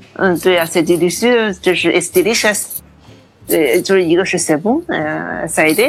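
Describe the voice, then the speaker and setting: At a moderate pace, a woman with an unremarkable speaking voice talks at a fairly low pitch, with ordinary pitch variation and very even loudness. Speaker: food science graduate student. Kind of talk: interview conversation.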